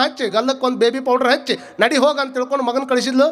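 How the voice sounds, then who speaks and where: Over noticeable background noise, a man with a North Karnataka accent speaks at an extremely high pitch. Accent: north Karnataka Kannada dialect. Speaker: spiritual preacher. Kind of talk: sermon. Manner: animated.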